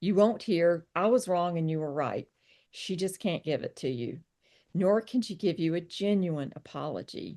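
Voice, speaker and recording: In a Southern US accent, the dark, mellow voice moves with ordinary pitch variation against a quiet background. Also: woman, fairly low pitch for a woman, moderate pace. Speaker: psychotherapist and author. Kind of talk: reading aloud; interview.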